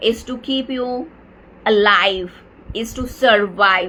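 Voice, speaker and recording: A woman is speaking here. Her voice sits fairly high and shows ordinary pitch variation. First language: Marathi. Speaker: life coach. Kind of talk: live Q&A session. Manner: halting, many fillers.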